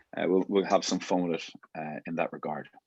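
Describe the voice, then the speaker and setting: A man with an Irish accent, very deep and low in pitch, talking at a fairly quick pace with fairly even intonation, dry and close with no echo, over a quiet background. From Ireland, Dublin. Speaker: rugby coach. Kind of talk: coaching workshop. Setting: video call.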